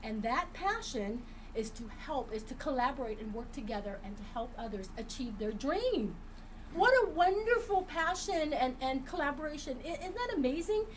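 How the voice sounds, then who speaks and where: The delivery is animated, with very wide pitch swings at a moderate pace. Room echo is audible. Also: woman, high pitch for a woman. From Vietnam, raised in US. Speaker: co-host, actress. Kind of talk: casual chat.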